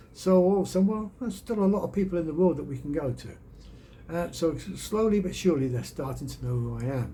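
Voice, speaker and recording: Audible room echo surrounds a man who speaks very fast with hardly any pauses. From England, Birmingham. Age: 60s. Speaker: YouTuber and storyteller. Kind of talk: casual vlog monologue.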